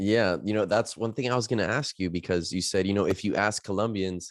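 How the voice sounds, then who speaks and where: With an American accent, a man with an ordinary speaking voice talks fairly quickly at a fairly low pitch on a very clean recording with a silent background. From Miami, US. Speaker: podcast host. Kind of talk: podcast interview.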